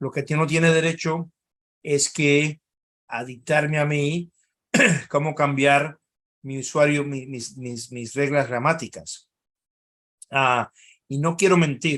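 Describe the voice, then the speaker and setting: Fairly high male voice at a very slow pace, fairly even in intonation, with long, frequent pauses and big swings in loudness. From Cuba, then Spain. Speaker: think tank analyst. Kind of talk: webinar talk. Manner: halting.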